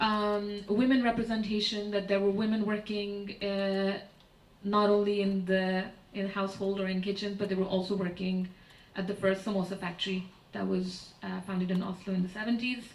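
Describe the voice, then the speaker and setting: The voice is delivered in a monotone, flat intonation with audible room echo. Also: woman, medium pitch for a woman, moderate pace. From Pakistan. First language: Urdu. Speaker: artist and curator. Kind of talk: lecture. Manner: hesitant, many fillers.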